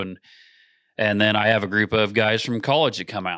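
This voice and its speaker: With an American accent, a man speaks in a bright, sharp tone and monotone, flat intonation, in a very clean recording with a silent background. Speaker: farmer. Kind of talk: casual chat. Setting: hunting shack.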